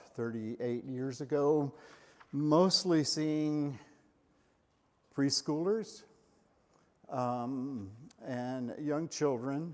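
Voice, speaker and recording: Talking at a very slow pace with long, frequent pauses, a man keeps a fairly high pitch with ordinary pitch variation. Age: 70s. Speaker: psychologist giving a church talk. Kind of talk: lecture. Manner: halting, many fillers.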